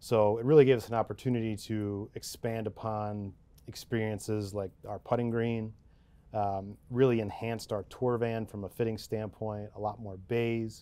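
At a moderate pace, a man speaks at a fairly low pitch in a dark, mellow tone with monotone, flat intonation. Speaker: guest. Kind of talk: interview answer. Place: studio. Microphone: lapel.

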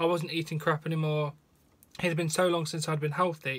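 The speaker has a British accent and a monotone, flat intonation. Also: man. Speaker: wrestling news host. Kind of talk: news reading; emotional personal testimony, read aloud in first person. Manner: sombre, heavy, confessional delivery. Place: home room. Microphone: phone near.

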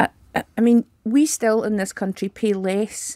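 A dark, mellow tone at a moderate pace, with a dry sound, no echo and a quiet background. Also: woman. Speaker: guest. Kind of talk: interview answer. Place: studio. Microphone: studio mic.

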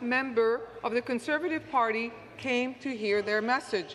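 A woman's fairly slow, high-pitched speech with fairly even intonation over light background noise. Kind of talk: formal political statement. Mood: earnest, critical. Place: hall. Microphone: podium.

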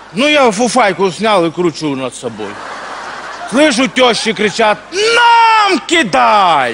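Noticeable background noise behind a man's very slow delivery. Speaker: comedian. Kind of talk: comic stage monologue. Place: stage.

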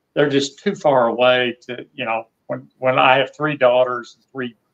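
A man with a Southern US accent at a moderate pace, fairly even in intonation, over a quiet background. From US South. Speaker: retired expat. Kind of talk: interview. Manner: halting, repeats words. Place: home room. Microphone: video call.

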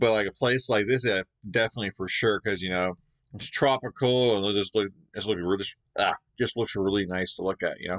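A fairly low-pitched man at a fairly quick pace, fairly even in intonation, over a quiet background. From Canada. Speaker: YouTube reaction creator; reaction video host. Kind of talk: video reaction commentary; casual reaction commentary. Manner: halting, filler-heavy. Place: home room.

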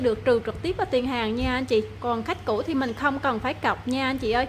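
A woman speaks at a fairly quick pace with a high pitch. Light background noise is present. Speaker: phone shop seller. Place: shop. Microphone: phone near.

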